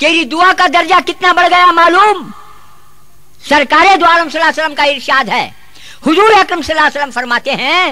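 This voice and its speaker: A man with a Deccani accent uses a raised, projected voice at an extremely high pitch with ordinary pitch variation, amid noticeable background noise. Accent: Deccani Urdu. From South India. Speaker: Islamic preacher. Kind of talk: religious sermon. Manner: humorous, emphatic.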